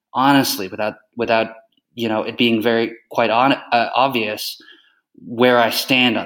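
Here is a man with a Canadian accent, using an ordinary speaking voice. He talks at a medium pitch and a moderate pace. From Canada. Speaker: journalist. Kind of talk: interview.

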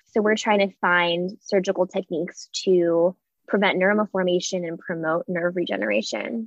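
A woman with an American accent talks at a moderate pace in a medium pitch, with ordinary pitch variation. Hers is an unremarkable speaking voice. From USA, Malaysian parents. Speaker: medical student. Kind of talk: casual chat.

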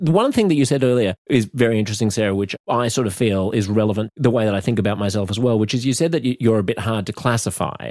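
Very fast speech from a man with an Australian accent, medium pitch and ordinary pitch variation, hardly any pauses, in a dry, close sound with no echo. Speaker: comedian and radio host. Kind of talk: casual debate.

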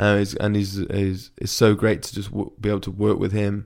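With an English accent, a man talks at a moderate pace in a fairly low pitch. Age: 20s. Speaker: podcast host, parkour athlete. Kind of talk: casual chat. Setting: home podcast room.

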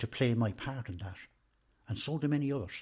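A man with an Irish accent talks at a very fast pace, somewhat breathy, with ordinary pitch variation. The recording is very clean, with a silent background. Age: 60s. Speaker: retired trade union official. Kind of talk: interview. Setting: in person.

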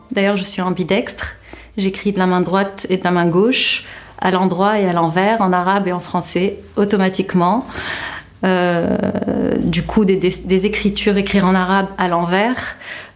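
Against noticeable background noise, a woman talks fairly slowly in a monotone, flat way. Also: medium pitch for a woman. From Tunisia. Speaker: visual artist. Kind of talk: interview testimony.

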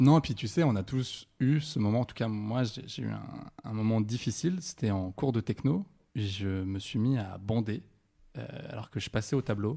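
In a very clean recording with a silent background, a man talks at a moderate pace in a medium pitch, with a dark, mellow tone and ordinary pitch variation. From Saint-Étienne, France. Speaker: guest on a sex talk show. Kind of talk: casual chat.

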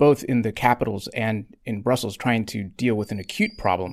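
This is an ordinary speaking voice: a man at medium pitch talks at a moderate pace with ordinary pitch variation, in a very clean recording with a silent background. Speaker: political journalist. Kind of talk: news panel discussion.

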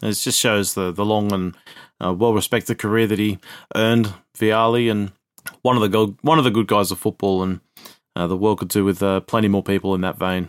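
Fairly quick and fairly even in intonation, a man's fairly low voice carries an Australian accent, recorded dry and close with no echo. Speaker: football podcast co-host. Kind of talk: casual chat.

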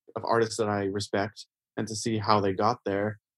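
In a dry, close sound with no echo, a man with a Canadian accent and a normal speaking voice talks at a moderate pace and a fairly low pitch. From Canada. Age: 40s. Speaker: painter. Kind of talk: casual interview.

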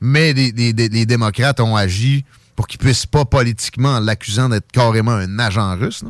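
Speaking in a Quebec accent, a man keeps a moderate pace, medium pitch and fairly even intonation on a very clean recording with a silent background. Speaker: radio host. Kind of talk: talk radio interview. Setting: studio.

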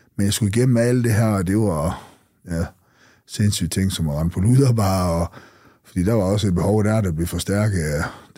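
At a fairly quick pace, a man speaks in a very deep, low voice with a dark, mellow tone and ordinary pitch variation. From North Jutland, Denmark (Skagen). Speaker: former drug dealer. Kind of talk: interview testimony.

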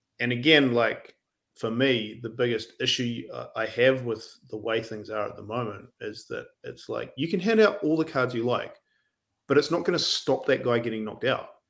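A man with a New Zealand accent at a moderate pace. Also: medium pitch for a man, ordinary pitch variation. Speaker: rugby writer. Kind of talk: casual chat.

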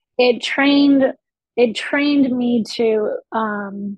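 At a very slow pace, a woman speaks with a fairly high pitch, a slightly mellow tone and ordinary pitch variation, in a dry, close sound with no echo.

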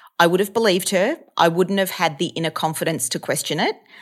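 A woman with an Australian accent at a fairly quick pace, in a very clean recording with a silent background. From Australia, Melbourne. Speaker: actor and stand-up comedian. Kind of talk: casual chat. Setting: apartment.

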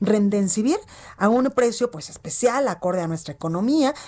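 With lively intonation and a fairly high pitch, a woman talks at a fairly quick pace in an ordinary speaking voice. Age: 30s. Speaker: news anchor. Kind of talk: news broadcast.

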